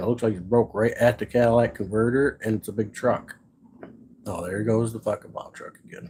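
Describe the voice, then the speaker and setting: A man in an American accent, dark and mellow in tone, somewhat breathy, at a fairly quick pace. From Michigan's Upper Peninsula. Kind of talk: casual live stream talk. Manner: blunt, profane.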